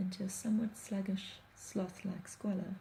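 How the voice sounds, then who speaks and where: Soft-spoken, a woman talks in a medium pitch at a moderate pace. Her intonation is monotone and flat. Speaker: blogger. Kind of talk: reading aloud.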